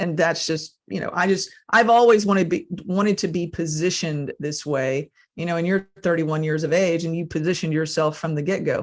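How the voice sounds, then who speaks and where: A plain, everyday voice from a woman, fairly low in pitch and fairly quick in pace, with hardly any pauses, on a very clean recording with a silent background. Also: ordinary pitch variation. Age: 50s. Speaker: podcast host. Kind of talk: podcast interview.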